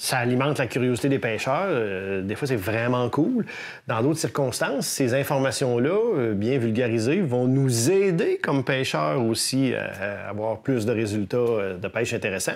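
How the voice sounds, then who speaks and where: A man with a Quebec accent, medium pitch, lively intonation, very even loudness and a moderate pace. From Quebec City. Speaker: fishing show host. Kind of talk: interview.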